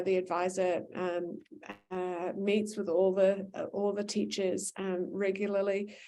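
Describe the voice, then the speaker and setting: A woman with a New Zealand accent speaks at medium pitch in a dark, mellow tone. Her intonation stays monotone and flat. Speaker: school administrator. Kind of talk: parent information session Q&A. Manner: many filler words and hesitations.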